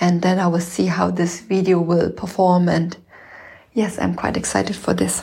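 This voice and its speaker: A woman speaks with a non-native accent, keeping her loudness very even. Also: moderate pace. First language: not English. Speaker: podcast host and mother learning video editing. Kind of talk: casual solo monologue. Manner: hesitant with many fillers.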